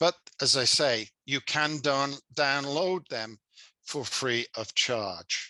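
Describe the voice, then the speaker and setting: Recorded with a dry, close sound and no echo, a man with a Birmingham accent speaks very slowly in a fairly high, bright, sharp voice with ordinary pitch variation. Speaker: service club leader, seminar presenter. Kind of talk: seminar presentation. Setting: video call.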